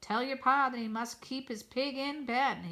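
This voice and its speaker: A woman uses a put-on character voice at a high pitch. Her intonation is monotone and flat. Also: moderate pace. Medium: read story. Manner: gentle, unhurried.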